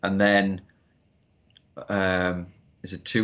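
A man speaks with a Geordie accent. His pitch is fairly low. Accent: Geordie, northern English. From Newcastle, northern England. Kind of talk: casual interview chat.

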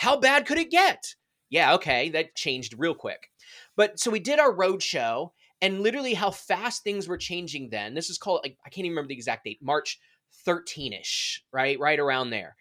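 With an American accent, a man speaks at a high pitch with very wide pitch swings and a bright, sharp tone, in a dry, close sound with no echo and a very clean recording with a silent background. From Maryland, outside Washington, D.C. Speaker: sales and customer experience leader. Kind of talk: podcast interview. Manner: animated; fast.

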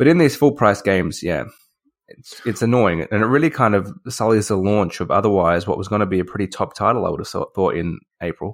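With a normal speaking voice, a man talks at a fairly quick pace in a fairly low pitch, using lively intonation and big swings in loudness, on a very clean recording with a silent background. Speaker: podcast host. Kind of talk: casual chat about video games.

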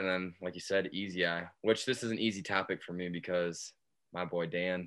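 A man speaks at a fairly quick pace with a very deep, low pitch. He has an American accent and fairly even intonation. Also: quiet background. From Michigan. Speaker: podcast co-host, Air Force veteran. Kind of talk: casual chat.

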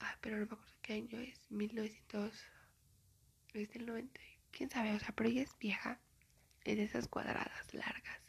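The pace is moderate. Long, frequent pauses run through the speech. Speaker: podcaster. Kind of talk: casual monologue.

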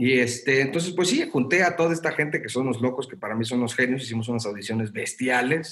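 A man talks at a very fast pace with hardly any pauses. His pitch sits in the medium range. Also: ordinary pitch variation. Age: young. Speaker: theatre producer. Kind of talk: casual chat.

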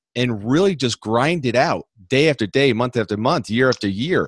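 A man talks in a normal speaking voice at a moderate pace, with lively intonation. The recording is very clean with a silent background and a dry, close sound with no echo. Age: 50s. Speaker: entrepreneur and business consultant. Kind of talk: interview.

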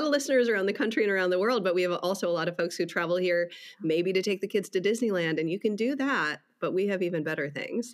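Her pitch sits in the medium range for a woman, and her intonation is lively. She talks at a very fast pace. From Wisconsin. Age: 40s. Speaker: podcast host and pastor. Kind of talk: casual interview.

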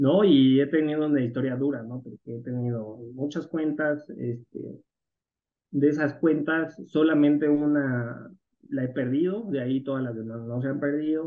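Fairly high in pitch, this man has an ordinary speaking voice. He speaks at a fairly slow pace with ordinary pitch variation. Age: 30s. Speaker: algorithmic crypto trader and entrepreneur. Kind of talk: interview conversation.

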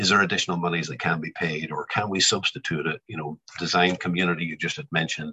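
Dry and close with no echo, a man with a very deep, low pitch talks at a very fast pace with ordinary pitch variation and hardly any pauses. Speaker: supply chain manager on construction panel. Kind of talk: panel discussion. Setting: video call.

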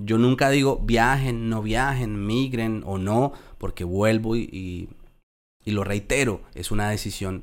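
At a fairly slow pace, a man speaks with a Colombian accent. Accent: Colombian, well preserved. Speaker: podcast host, immigrant. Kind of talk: interview.

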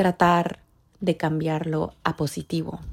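A somewhat breathy woman with an animated tone. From Ecuador. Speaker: podcast host. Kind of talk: casual monologue. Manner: code-switching into English.

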